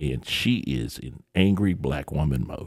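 A man speaks with vocal fry. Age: 50s. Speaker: comedian. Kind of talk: casual chat. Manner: animated.

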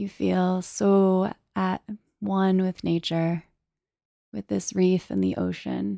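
A woman speaks in a calm, soothing tone at a very slow pace. Her long, frequent pauses come through a dry, close sound with no echo. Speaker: meditation teacher. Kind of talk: guided meditation, gentle second-person visualization of swimming through a coral tunnel. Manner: slow, soothing and unhurried, with soft trailing phrases; calm and hushed, evocative imagery delivered dreamily.

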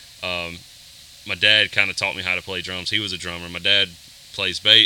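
A man with a Southern US accent speaks in a very deep, low, monotone voice with flat intonation. Noticeable background noise is present. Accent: Southern US (Georgia). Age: 30s. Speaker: worship drummer. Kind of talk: casual interview.

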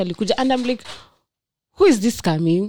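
This woman's voice has a dark, mellow tone. The sound is dry and close, with no echo. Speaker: friend of the host. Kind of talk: casual chat.

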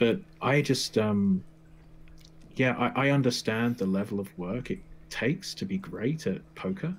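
The speech moves at a fairly slow pace with long, frequent pauses and very wide pitch swings. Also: man, medium pitch for a man. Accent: British. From England. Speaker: mindset coach. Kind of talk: casual interview chat.

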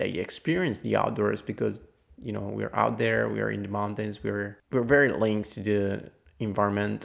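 This man speaks with an Italian accent. His pace is moderate. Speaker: podcast host, trail runner. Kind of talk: solo podcast news review. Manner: some hesitations and fillers.

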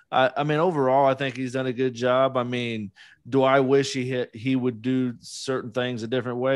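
A man with an ordinary speaking voice talks at a moderate pace in a medium pitch. He has an American accent, and the background is quiet. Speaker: podcast co-host, guest. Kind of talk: casual interview chat.

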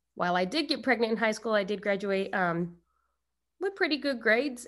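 A woman with an American accent speaks at a moderate pace in a medium pitch, her tone bright and sharp, with ordinary pitch variation on a very clean recording with a silent background. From Arizona. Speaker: special education teacher. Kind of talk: casual interview.

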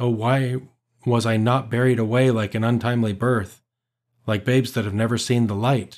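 A man with a plain, everyday voice speaks at a moderate pace and medium pitch with fairly even intonation, captured on a very clean recording with a silent background. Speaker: prayer leader. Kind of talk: liturgical reading aloud.

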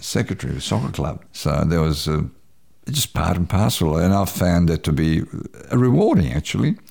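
With a Croatian accent, a man speaks in a very deep, low pitch and a dark, mellow tone touched by vocal fry. His intonation is lively, his pace moderate, and his loudness very even. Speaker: community radio announcer. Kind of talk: interview.

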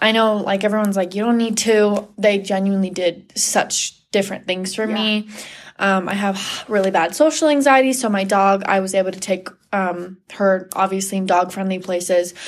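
Using a plain, everyday voice, a woman talks at a moderate pace and medium pitch, her intonation fairly even. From Washington State. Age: young. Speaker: cosmetology student. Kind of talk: casual interview.

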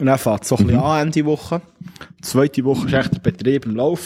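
At a very fast pace, a man talks with ordinary pitch variation. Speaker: podcast co-host, soldier. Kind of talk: casual chat. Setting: bunker.

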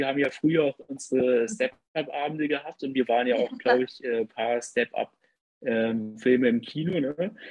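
The recording has a dry, close sound with no echo. A man of medium pitch speaks at a moderate pace in a normal speaking voice with ordinary pitch variation. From southwest Germany, Lörrach area. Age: 20s. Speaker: nurse and dancer. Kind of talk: casual interview chat.

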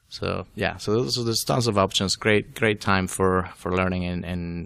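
A man with a slight Venezuelan accent speaks at a very deep, low pitch with fairly even intonation, on a very clean recording with a silent background and a dry, close sound with no echo. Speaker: data science and BI consultant. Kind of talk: interview. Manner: halting.

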